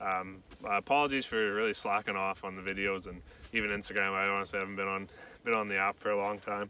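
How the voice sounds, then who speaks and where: Very fast and flat in intonation, a man with a Canadian accent speaks at a fairly low pitch in a bright, sharp tone, the sound dry with no echo over light background noise. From Canadian Prairies. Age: 20s. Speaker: YouTuber. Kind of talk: casual vlog.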